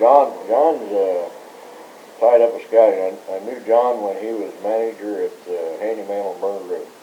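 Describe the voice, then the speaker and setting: An American accent at a moderate pace, with big swings in loudness, audible room echo and noticeable background noise. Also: man. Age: 60s. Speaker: former scouting staff member. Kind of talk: oral history interview. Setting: recorded interview. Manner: hesitant, many fillers.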